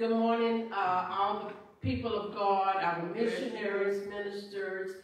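A woman speaks at a fairly slow pace with fairly even intonation. Strong room echo surrounds her voice. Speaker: pastor. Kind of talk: church welcome and prayer. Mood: warm, formal greeting. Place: church.

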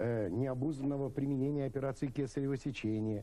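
At a moderate pace, a man talks in a dark, mellow tone with ordinary pitch variation. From St. Petersburg, Russia; Russia. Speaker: obstetrician-gynecologist, professor; guest. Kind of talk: televised debate. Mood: calm, explanatory. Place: studio.

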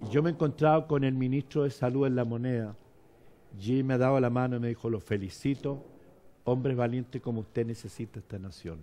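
A fairly quick man's voice, medium in pitch, dark and mellow in tone, with ordinary pitch variation. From Chile. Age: 70s. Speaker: bishop. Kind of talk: interview. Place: studio. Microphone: lapel.

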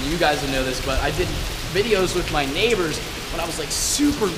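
Loud background noise fills the recording. A man talks with ordinary pitch variation. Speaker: vlogger. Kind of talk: casual vlog chat. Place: garage. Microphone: phone near.

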